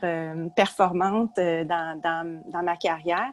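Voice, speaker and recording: A woman speaks with a Quebec accent. Background noise is noticeable. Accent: Québécois French. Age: 60s. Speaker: retired psychology professor and author. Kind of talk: podcast interview.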